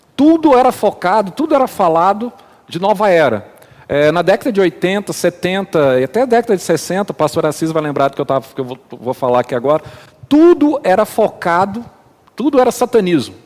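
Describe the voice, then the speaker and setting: A high-pitched man's voice at a moderate pace, with very wide pitch swings. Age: 40s. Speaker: church elder. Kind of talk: casual chat.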